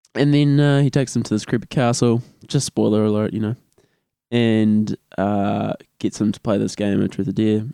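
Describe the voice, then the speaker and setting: A dark, mellow voice in a New Zealand accent, with ordinary pitch variation, a moderate pace, and a dry, close sound with no echo. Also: man, fairly low pitch for a man. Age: 20s. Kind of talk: casual chat.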